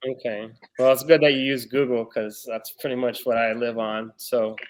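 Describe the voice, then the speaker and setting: In a Texan accent, a man talks at a moderate pace. His medium-pitched voice is monotone and flat. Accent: Texan American English. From Texas. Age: 30s. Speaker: blind date contestant. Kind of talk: casual chat.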